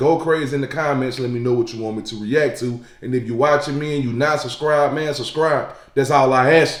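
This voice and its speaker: Fairly quick speech with audible room echo. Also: man. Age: 20s. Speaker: YouTube reaction creator. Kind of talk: casual reaction commentary. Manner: animated.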